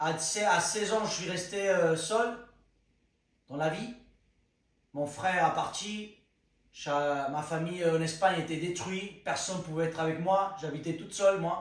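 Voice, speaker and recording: In a Spanish accent, a man speaks fairly slowly with a high pitch and fairly even intonation. Long, frequent pauses break his speech, and room echo is audible. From Spain. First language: Spanish (speaking French). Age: 20s. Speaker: content creator. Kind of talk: personal testimony. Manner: halting, searching for words.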